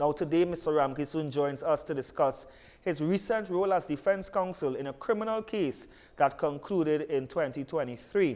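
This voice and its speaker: Speaking in a fairly high pitch, a man keeps a moderate pace and ordinary pitch variation. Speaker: TV legal show host, attorney. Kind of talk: talk show introduction. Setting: studio. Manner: halting, stumbling over words.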